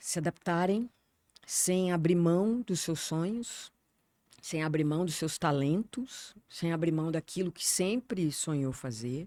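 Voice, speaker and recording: A woman with a fairly low pitch and a dark, mellow tone speaks at a very slow pace with lively intonation. The recording is very clean with a silent background and a dry, close sound with no echo. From southern Brazil, Porto Alegre. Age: 60s. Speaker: journalist. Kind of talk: interview conversation. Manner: hesitant, many fillers.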